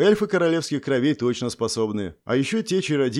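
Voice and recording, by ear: A natural voice reads the passage aloud with lively intonation.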